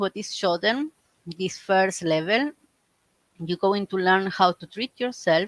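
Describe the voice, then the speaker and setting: A woman at a medium pitch comes across with a dry, close sound and no echo. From Argentina. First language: Spanish. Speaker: reiki teacher. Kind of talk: live stream talk. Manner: halting.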